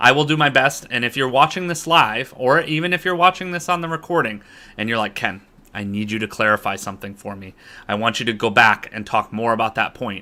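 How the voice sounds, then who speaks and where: A man speaks fairly quickly with an American accent, at a medium pitch. His tone is bright and sharp, with lively intonation and big swings in loudness. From US, Boston, Massachusetts. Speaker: business coach and online instructor. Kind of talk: online lecture. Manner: fast.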